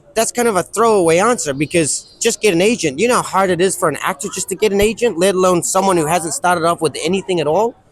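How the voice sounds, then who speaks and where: Over noticeable background noise, a man with a high pitch talks at a very fast pace with hardly any pauses and ordinary pitch variation. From New Zealand. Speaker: actor. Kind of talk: interview.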